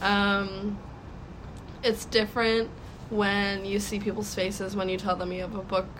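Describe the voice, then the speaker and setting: Audible room echo surrounds a woman speaking at a moderate pace and medium pitch. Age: 18 years old. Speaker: young author, college freshman. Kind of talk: casual interview. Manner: halting, filler-heavy.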